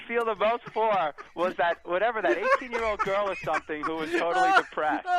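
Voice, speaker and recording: Over noticeable background noise, a man with an American accent and an extremely high pitch projects his raised voice at a fairly quick pace, swinging his pitch very widely. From Massachusetts (East Arlington, Boston area). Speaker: caller. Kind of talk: casual chat. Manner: hesitant, with fillers.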